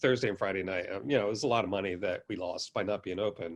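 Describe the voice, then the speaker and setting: The background stays quiet. Over it, a man talks. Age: 60s. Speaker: baker and pizzeria owner. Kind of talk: podcast interview. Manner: halting, many fillers.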